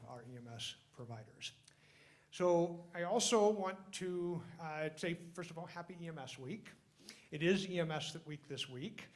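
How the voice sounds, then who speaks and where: A man's voice carries audible room echo. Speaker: emergency physician hosting award ceremony. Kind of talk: ceremony speech. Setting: stage with audience, microphone.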